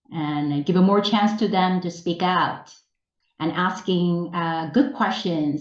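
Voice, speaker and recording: Her voice fairly low, a woman speaks with ordinary pitch variation. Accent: Korean. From South Korea. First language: Korean. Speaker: English teacher trainer. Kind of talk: webinar presentation. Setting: online webinar.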